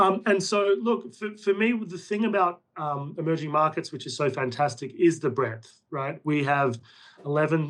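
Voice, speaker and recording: Speaking with an Australian accent, a man has a fairly high pitch, ordinary pitch variation and a moderate pace. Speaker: portfolio manager. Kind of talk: interview.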